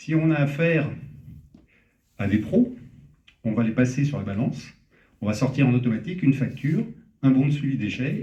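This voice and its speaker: A man with a Parisian accent, dark and mellow in tone, somewhat breathy, with long, frequent pauses and audible room echo. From Paris, France. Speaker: startup founder. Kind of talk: startup pitch. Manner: hesitant, many fillers.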